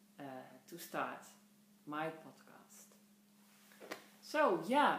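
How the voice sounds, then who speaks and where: In a Dutch accent, a woman speaks at a very slow pace. Audible room echo and noticeable background noise surround her voice. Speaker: podcast host, knitter. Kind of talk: casual podcast monologue. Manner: halting, many fillers.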